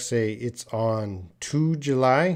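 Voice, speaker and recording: A man talks in a normal speaking voice with a Canadian accent. His pitch is medium and his intonation lively. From Canada. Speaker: English teacher. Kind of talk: live online English lesson. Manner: casual, conversational.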